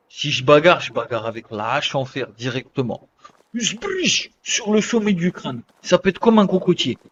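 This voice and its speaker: This man's voice is high-pitched, with very wide pitch swings. He leaves long, frequent pauses. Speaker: gaming streamer. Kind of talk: live gameplay commentary. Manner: animated; whispering at times.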